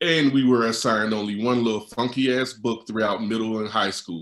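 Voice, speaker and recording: Speaking at a moderate pace with an American accent, a man has a medium pitch and an unremarkable speaking voice. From West Virginia (small town). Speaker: novelist and writing teacher. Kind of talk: reading aloud of own essay. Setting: video call.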